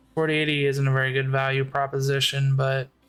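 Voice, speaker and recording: Music plays behind the voice. The man's pitch is fairly high. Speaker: gaming youtuber. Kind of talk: let's play commentary. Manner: casual, many fillers.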